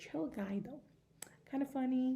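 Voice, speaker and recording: A woman with a non-native accent has a somewhat breathy voice and a dark, mellow tone. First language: not English. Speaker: book vlogger. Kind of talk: casual chat. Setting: indoors at home. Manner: hesitant, many fillers.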